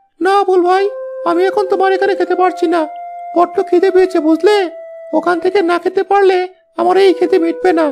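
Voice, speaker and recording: A cartoonish character voice at an extremely high pitch and a moderate pace. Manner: hurried, talkative.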